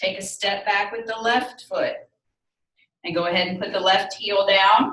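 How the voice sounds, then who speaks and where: With a Southern US accent, a woman speaks at a medium pitch with ordinary pitch variation. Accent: southern drawl. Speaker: yoga instructor. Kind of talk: fitness class instruction.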